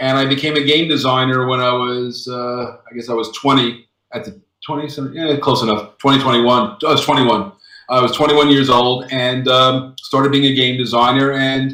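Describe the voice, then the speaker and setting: Using an American accent, a man speaks at a medium pitch and moderate pace with fairly even intonation and a bright, sharp tone. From US, Brooklyn, New York. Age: 60s. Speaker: board game designer. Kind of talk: interview.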